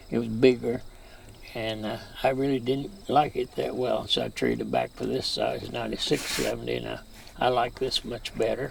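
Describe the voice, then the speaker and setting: A man in an American accent speaks at a moderate pace while noticeable background noise plays behind him. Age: 80s+. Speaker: farmer. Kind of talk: interview. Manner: halting.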